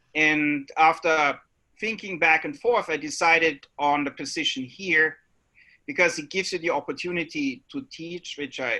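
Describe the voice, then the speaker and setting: In an Austrian accent, a man speaks at a fairly high pitch and moderate pace with a bright, sharp tone. His pitch varies in an ordinary way, on a very clean recording with a silent background. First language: German. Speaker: biology professor. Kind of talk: panel introduction.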